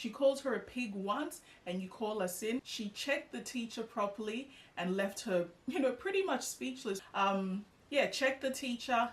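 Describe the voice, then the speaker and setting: With an Australian accent, a woman talks at a moderate pace, her fairly high pitch moving in a lively intonation. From Australia (Melbourne), born in Ghana. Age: 30s. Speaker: YouTuber. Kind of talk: personal vlog storytelling. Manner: casual with many fillers.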